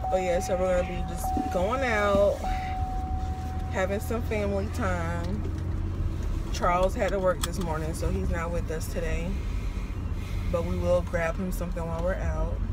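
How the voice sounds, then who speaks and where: Against loud background noise, a woman talks at a moderate pace with long, frequent pauses in a dry sound with no echo. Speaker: vlogger. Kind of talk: casual vlog chat. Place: car. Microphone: phone near.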